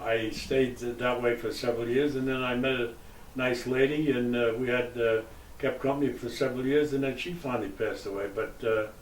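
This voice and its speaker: A man at a medium pitch and moderate pace, with ordinary pitch variation, audible room echo and noticeable background noise. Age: 90s. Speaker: retired sales representative. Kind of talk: interview. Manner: halting, many fillers.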